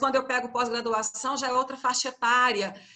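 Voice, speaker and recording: At a moderate pace, a woman with a Goiás accent speaks in a high pitch, her tone bright and sharp and her intonation fairly even. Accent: Goiás accent, similar to Minas Gerais. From Goiânia, Brazil (Centre-West). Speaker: university teacher leading a training session. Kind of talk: workshop instructions. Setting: video call.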